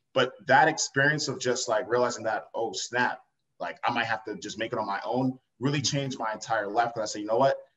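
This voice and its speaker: A man with an American accent, medium pitch, ordinary pitch variation, and a fairly quick pace. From Long Island, New York. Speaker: entrepreneur. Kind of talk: interview. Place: home room. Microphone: video call.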